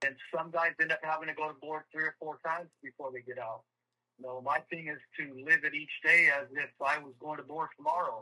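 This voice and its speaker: A man talks fairly quickly with a fairly high pitch and an ordinary speaking voice. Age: 50s. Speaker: prison inmate. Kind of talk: interview testimony.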